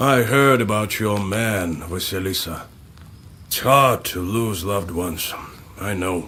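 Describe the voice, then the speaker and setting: Using a put-on character voice, a man speaks fairly slowly at a fairly low pitch over clear background noise. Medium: video game.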